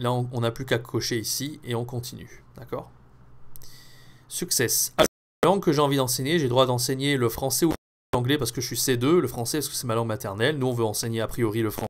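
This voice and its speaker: A man with an unremarkable speaking voice at a medium pitch, talking at a fairly quick pace in a very clean recording with a silent background. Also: fairly even intonation. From France. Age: 20s. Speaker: French teacher. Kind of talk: tutorial. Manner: casual, with many fillers.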